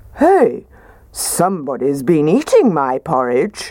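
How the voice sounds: A woman puts on a gruff character voice, low-pitched with a dark, mellow tone. She speaks slowly, with very wide pitch swings.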